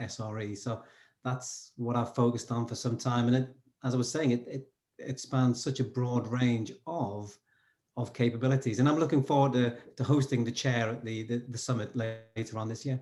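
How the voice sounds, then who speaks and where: In a very clean recording with a silent background, a man speaks at medium pitch. His somewhat breathy voice has monotone, flat intonation. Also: moderate pace. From northern England, Newcastle. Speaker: SRE coach. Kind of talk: interview conversation.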